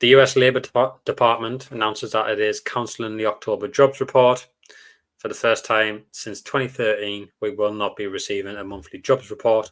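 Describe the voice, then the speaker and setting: In a very clean recording with a silent background, a man with a British accent speaks with big swings in loudness. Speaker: stock market streamer. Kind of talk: live stream market commentary. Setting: live stream. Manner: fast; casual, many fillers.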